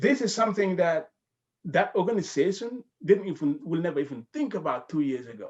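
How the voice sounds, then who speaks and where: A man with a West African accent, high-pitched with very wide pitch swings, over a quiet background. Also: fairly quick pace. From The Gambia, West Africa. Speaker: healthcare professional. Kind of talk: casual chat.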